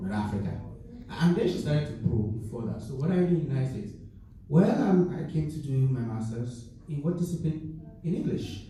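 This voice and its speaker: With a Nigerian accent, a man with a fairly high voice talks fairly quickly and with lively intonation, amid noticeable background noise and audible room echo. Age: young. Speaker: graduate student, panelist. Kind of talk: panel discussion.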